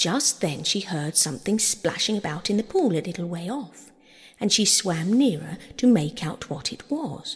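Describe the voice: Plain reading aloud, the intonation lively throughout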